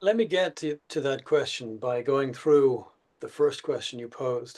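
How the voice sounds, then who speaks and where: A man with an Irish accent, fairly high-pitched, with lively intonation. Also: moderate pace. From Ireland. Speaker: policy researcher. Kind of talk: panel discussion.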